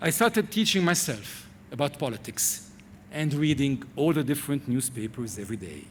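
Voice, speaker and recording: This man has a fairly high pitch with very wide pitch swings and vocal fry. He moves at a moderate pace. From Lebanon. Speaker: TV presenter. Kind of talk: commencement speech. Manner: formal.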